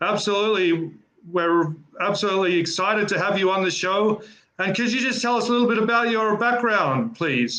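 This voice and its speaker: A man's enthusiastic, raised and projected voice, high-pitched, at a fairly quick pace with ordinary pitch variation and very even loudness. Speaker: interview host. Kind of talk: podcast interview host.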